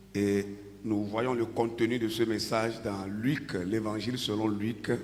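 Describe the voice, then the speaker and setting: The voice moves at a very slow pace with monotone, flat intonation and very even loudness. Audible room echo and noticeable background noise fill the recording. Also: man, fairly low pitch for a man. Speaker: pastor. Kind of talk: sermon.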